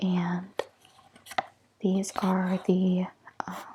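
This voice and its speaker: Speaking softly, a woman with an American accent keeps to a medium pitch. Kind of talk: ASMR tarot reading. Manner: soft-spoken.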